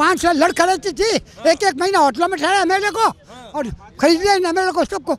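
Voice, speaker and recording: This man's voice sits at an extremely high pitch and carries an animated, angry tone with ordinary pitch variation. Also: moderate pace. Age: 80s+. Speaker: voter interviewed on the street. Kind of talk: street interview, heated political opinion.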